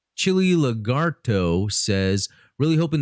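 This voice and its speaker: An animated man with very wide pitch swings, on a very clean recording against a silent background. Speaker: podcast host. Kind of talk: casual chat.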